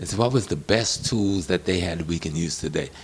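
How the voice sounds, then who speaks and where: A man speaks at a moderate pace, with background noise clearly audible. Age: 70s. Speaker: professor and historian. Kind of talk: interview.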